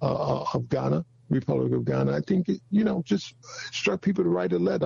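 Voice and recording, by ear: A man with a fairly high pitch speaks at a moderate pace, his dark, mellow tone carrying vocal fry and a husky, rough edge.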